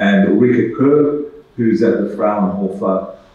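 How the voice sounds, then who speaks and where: A man speaking at a very slow pace, with noticeable background noise and audible room echo. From Australia. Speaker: medical researcher. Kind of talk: conference presentation. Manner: halting, many fillers.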